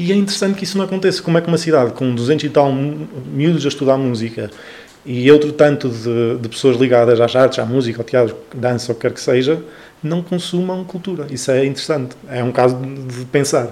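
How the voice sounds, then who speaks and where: Through noticeable background noise, a man talks at a fairly quick pace at medium pitch with ordinary pitch variation. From northern Portugal, Trás-os-Montes (Chaves). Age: 20s. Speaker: cultural association founder. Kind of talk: casual interview. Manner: halting with many fillers.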